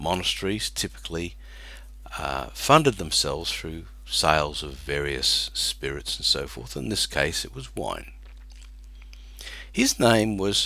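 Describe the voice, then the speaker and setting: A man with an Australian accent, a very deep, low pitch, vocal fry, very wide pitch swings and a bright, sharp tone, with long, frequent pauses and audible room echo. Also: fairly slow pace, big swings in loudness. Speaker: accounting teacher. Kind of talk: lecture.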